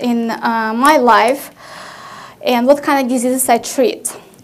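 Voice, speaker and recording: A woman speaks with a Russian accent. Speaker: family medicine physician. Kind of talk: conference presentation. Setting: conference stage with audience.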